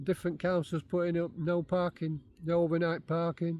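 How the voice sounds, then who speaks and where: A man's high pitch in a dark, mellow tone with monotone, flat intonation. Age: 60s. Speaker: vlogger. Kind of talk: casual vlog talk.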